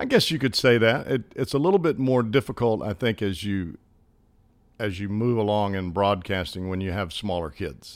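A Southern US accent, lively intonation, and a moderate pace on a very clean recording with a silent background. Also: man, fairly low pitch for a man. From US South, Alabama. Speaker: baseball broadcaster and former player. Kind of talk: casual interview chat.

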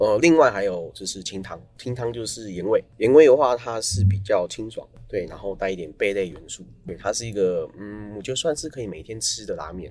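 Over music in the background, a man at medium pitch speaks at a fairly quick pace with hardly any pauses, ordinary pitch variation, and big swings in loudness. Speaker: ramen shop owner, former engineer. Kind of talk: casual interview chat.

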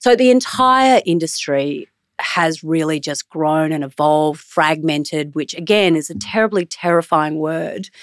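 Speaking at a moderate pace with an Australian accent, the voice sounds dry and close with no echo, on a very clean recording with a silent background. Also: woman. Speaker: media executive. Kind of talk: interview conversation.

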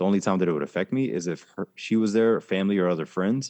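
A man with an American accent talks at a very fast pace in a very deep, low voice, his pitch varying in an ordinary way, recorded dry and close with no echo against a quiet background. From Germany and Florida, US South. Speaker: army veteran and life coach. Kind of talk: interview conversation.

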